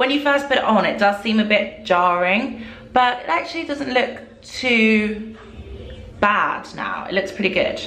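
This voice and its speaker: Audible room echo accompanies a woman talking at a moderate pace. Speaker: beauty vlogger. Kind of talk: casual product review chat. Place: bathroom. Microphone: phone near.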